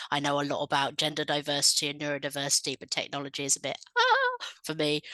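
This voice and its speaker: Over a quiet background, a woman speaks at a moderate pace with a very deep, low pitch and a bright, sharp tone, in a dry, close recording with no echo. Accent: English. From England. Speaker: researcher. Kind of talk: presentation to conference. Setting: video call.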